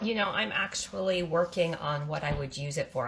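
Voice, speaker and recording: The tone is animated and the pace moderate. Noticeable background noise runs underneath. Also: woman. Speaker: homesteading canning vlogger. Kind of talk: cooking tutorial.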